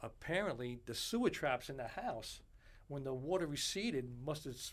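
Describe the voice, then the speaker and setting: Speaking at a moderate pace in a New York accent, the voice moves through very wide pitch swings. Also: man. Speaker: bartender. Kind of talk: casual interview chat.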